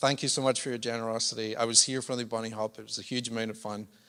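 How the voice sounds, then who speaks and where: A man with a Scottish accent talks very fast in a flat monotone at medium pitch. His tone is bright and sharp, and the background is quiet. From Scotland. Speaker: charity chief executive, former pastor. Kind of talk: speech to church congregation. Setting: church service.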